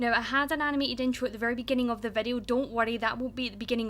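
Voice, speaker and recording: A woman with a Scottish accent speaks at a fairly high pitch. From Scotland. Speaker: gaming YouTuber. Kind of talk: casual gameplay commentary.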